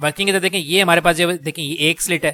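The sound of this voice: Talking at a fairly quick pace, a man uses a bright, sharp tone with fairly even intonation.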